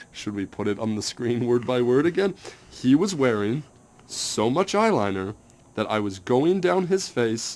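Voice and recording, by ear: Text is being read aloud. The delivery sounds natural.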